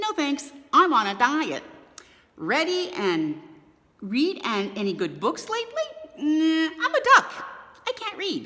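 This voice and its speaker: Using a high-pitched put-on character voice, a woman speaks at a fairly slow pace with long, frequent pauses. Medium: read story. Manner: breezy, casual.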